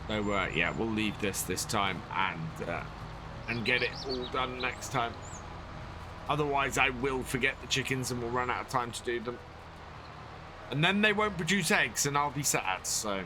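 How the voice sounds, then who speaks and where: With music in the background and audible room echo, a man with a British accent talks at a medium pitch and moderate pace, using very wide pitch swings and long, frequent pauses. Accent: British, like Bear Grylls. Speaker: game streamer. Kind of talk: live gameplay commentary. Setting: live stream. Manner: casual, rambling with fillers.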